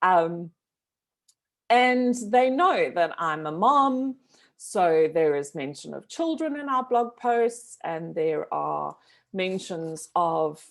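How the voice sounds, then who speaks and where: A woman speaks loudly at a very slow pace, her pitch swinging very widely. The recording is very clean, with a silent background. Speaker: business owner and trainer. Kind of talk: live stream talk. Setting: Facebook live. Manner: animated.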